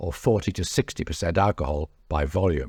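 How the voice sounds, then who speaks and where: A man with a British accent talks at a fairly quick pace in a dark, mellow tone with lively intonation and vocal fry, in a very clean recording with a silent background and a dry, close sound with no echo. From England. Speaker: travel blogger and author. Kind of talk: reading aloud from own memoir.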